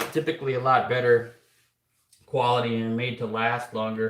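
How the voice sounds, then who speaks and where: A man at a fairly slow pace. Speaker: clock repairer. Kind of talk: live stream workshop chat. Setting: workshop. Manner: loud; halting.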